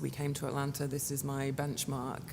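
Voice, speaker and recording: The speaker has a strong British accent and talks at a very fast pace. Noticeable background noise runs underneath. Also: woman. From England. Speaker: chamber of commerce executive director. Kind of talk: interview conversation.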